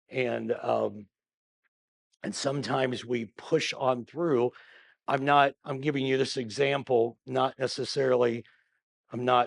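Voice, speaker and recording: A man's medium-pitched, flat, monotone voice, dry and close with no echo, over a quiet background. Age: 60s. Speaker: pastor. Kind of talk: bible study teaching. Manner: conversational, with many fillers.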